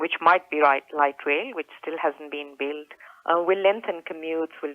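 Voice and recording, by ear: Speaking at a moderate pace with low pitch, a woman keeps fairly even intonation in a dry, close sound with no echo.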